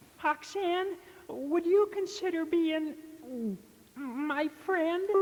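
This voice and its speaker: In a put-on character voice, someone talks very slowly at an extremely high pitch. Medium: read story.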